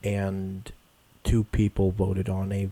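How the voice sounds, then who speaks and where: A man speaks quietly in a fairly low pitch. His tone is dark and mellow, and somewhat breathy. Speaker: gaming YouTuber. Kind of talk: casual gaming commentary. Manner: hesitant, filler-heavy.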